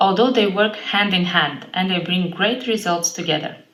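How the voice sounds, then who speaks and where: An Eastern European accent with audible room echo. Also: woman. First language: an Eastern European language. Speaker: fitness trainer. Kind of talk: vlog monologue.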